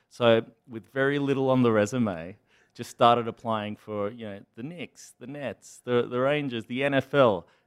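In an Australian accent, the speaker goes at a moderate pace with ordinary pitch variation. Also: man, medium pitch for a man. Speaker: startup founder and CEO. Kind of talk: interview. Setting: studio.

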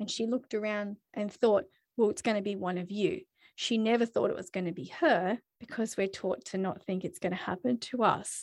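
Speaking at a fairly quick pace, a woman has an Australian accent and medium pitch with ordinary pitch variation. The background is quiet. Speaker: podcast host. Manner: chatty, animated.

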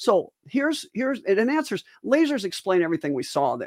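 In a very clean recording with a silent background, a woman speaks at a moderate pace with very wide pitch swings. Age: 70s. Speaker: physician and podcast co-host. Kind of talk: casual chat.

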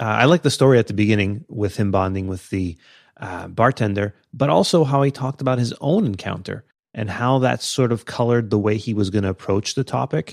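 A man with a normal speaking voice talks at a fairly quick pace and a fairly low pitch with ordinary pitch variation, recorded dry and close with no echo in a very clean recording with a silent background. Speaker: podcaster. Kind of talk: casual chat.

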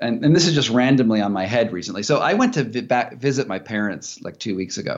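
In a plain, everyday voice, a man talks at a fairly quick pace with lively intonation. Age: 40s. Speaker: investigative journalist and author. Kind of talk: casual interview chat.

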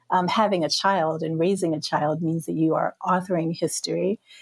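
A woman speaks in a plain, everyday voice at a moderate pace with ordinary pitch variation. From US South. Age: 50s. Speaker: podcast guest, filmmaker. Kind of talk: casual conversation.

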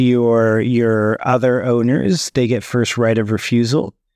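Over a quiet background, a man with a Californian accent speaks at medium pitch in a dry, close sound with no echo. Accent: General American (California). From San Francisco Bay Area, California. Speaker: startup founder and CEO. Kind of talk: interview.

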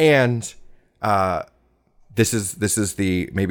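On a very clean recording with a silent background, a man with an American accent speaks at a fairly low pitch with ordinary pitch variation. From Southern California. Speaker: storyteller. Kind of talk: personal storytelling interview. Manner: hesitant, many fillers and restarts.

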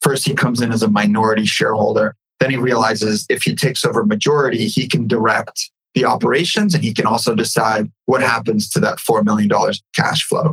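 Speaking in a normal speaking voice with an American accent, a man talks at a fairly quick pace, medium in pitch, with ordinary pitch variation and very even loudness. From California, raised there after leaving Ukraine as a baby. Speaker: entrepreneur. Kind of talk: casual interview.

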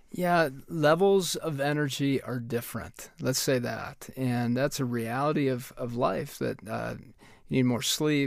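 In a very clean recording with a silent background, a man with a plain, everyday voice speaks at a fairly slow pace, with a medium pitch and ordinary pitch variation. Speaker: parenting expert and co-host.

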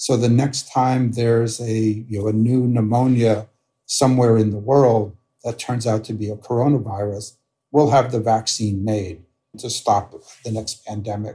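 The man's voice has a dark, mellow tone, somewhat breathy and delivered with monotone, flat intonation. The recording is very clean, with a silent background. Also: medium pitch for a man, moderate pace. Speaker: physician and immunologist. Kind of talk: interview. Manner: halting.

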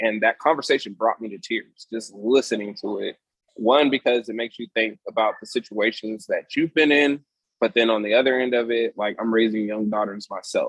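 In an unremarkable speaking voice with an American accent, someone talks at a fairly quick pace with fairly even intonation, the sound dry and close with no echo. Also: man, medium pitch for a man. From Sacramento area, California. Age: 30s. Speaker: brewery owner. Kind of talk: casual interview.

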